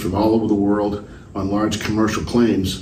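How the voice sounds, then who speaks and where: Noticeable background noise sits behind a man speaking in a fairly low voice. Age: 70s. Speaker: aviation insurance salvage and claims executive. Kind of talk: interview answer. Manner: hesitant, many filler words.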